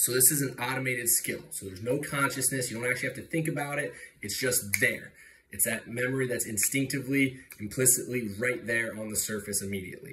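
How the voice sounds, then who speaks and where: Through audible room echo, a man speaks in a medium pitch with a bright, sharp tone and ordinary pitch variation. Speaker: student teacher giving a mock lesson. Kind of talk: classroom lesson for children. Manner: fast; animated.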